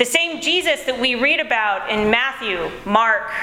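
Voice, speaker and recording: A woman's high voice in an American accent at a very slow pace, with audible room echo and noticeable background noise. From United States. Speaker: preacher. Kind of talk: sermon.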